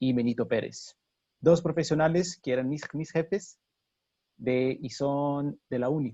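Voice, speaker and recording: Speaking at a fairly slow pace with a Brazilian accent, a man uses a fairly high pitch and ordinary pitch variation. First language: Portuguese (speaking Spanish). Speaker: mining engineer. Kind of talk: webinar presentation. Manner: halting.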